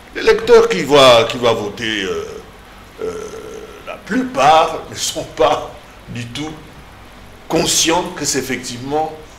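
Over light background noise and audible room echo, a man speaks at a very slow pace with very wide pitch swings, big swings in loudness and long, frequent pauses. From DR Congo. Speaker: political commentator. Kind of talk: political panel discussion. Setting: TV studio. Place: studio. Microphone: lapel.

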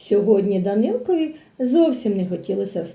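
Lively intonation in an unforced reading voice

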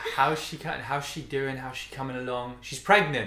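The speaker has a British accent. Audible room echo and light background noise accompany the voice. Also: man. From Britain. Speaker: guest youtuber. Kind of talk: casual conversation. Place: home room.

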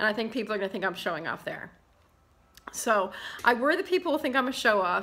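Ordinary pitch variation in a woman's voice. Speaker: vlogger. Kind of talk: casual vlog chat. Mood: self-deprecating, laughing, candid. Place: home room. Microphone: webcam.

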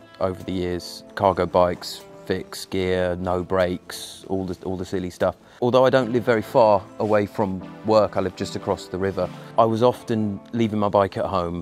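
A man with a fairly low pitch and fairly even intonation at a moderate pace, in a dry sound with no echo and faint music in the background. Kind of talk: interview answer. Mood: relaxed, reflective. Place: garden.

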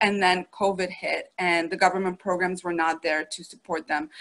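At a moderate pace, a woman talks in a medium-pitched voice with a bright, sharp tone. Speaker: bank business advisor. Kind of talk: business pitch. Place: home room. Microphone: video call.

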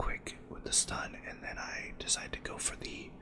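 The voice is a whisper. Background noise is noticeable behind it. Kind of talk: gameplay commentary, soft-spoken ASMR style. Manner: soft-spoken, whispering, slightly fast.

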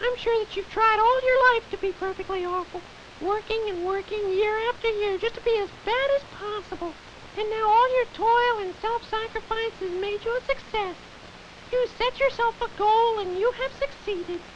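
A cartoonish character voice pitched extremely high comes through with clear background noise. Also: moderate pace. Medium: puppet show. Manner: gushing, sing-song.

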